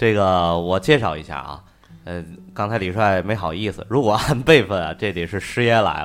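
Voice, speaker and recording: An ordinary speaking voice from a man at fairly low pitch, moving at a moderate pace with ordinary pitch variation. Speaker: podcast co-host. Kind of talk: casual chat.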